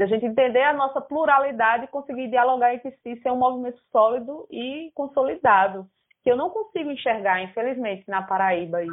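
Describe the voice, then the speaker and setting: Hardly pausing, a woman talks at a fairly quick pace with a high pitch, lively intonation and big swings in loudness. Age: 20s. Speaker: artist and theatre student. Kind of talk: casual chat.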